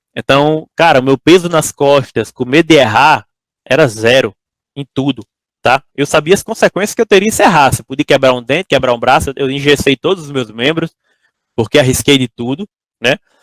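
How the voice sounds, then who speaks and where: Talking at a fairly quick pace, a man with an ordinary speaking voice and a fairly high pitch shows ordinary pitch variation in a dry, close sound with no echo. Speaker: entrepreneur giving a talk to engineering students. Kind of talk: lecture. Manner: casual, conversational.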